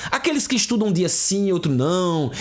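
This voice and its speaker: Animated and lively in intonation, a man with a high pitch talks at a fairly quick pace, with audible echo in the room. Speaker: exam prep teacher. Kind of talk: online lecture. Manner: fast.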